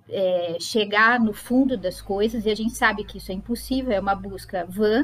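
Using a normal speaking voice, a woman talks at a moderate pace and a medium pitch. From Brazil, Sorocaba (São Paulo state). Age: 40s. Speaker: psychologist and psychoanalysis lecturer. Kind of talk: casual interview conversation.

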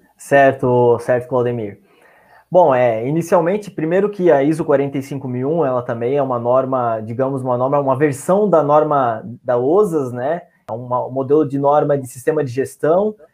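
A man speaks in a plain, everyday voice with a fairly high pitch. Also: ordinary pitch variation, moderate pace. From Santa Catarina, Brazil (São Francisco do Sul). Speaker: occupational safety professional. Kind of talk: online panel discussion.

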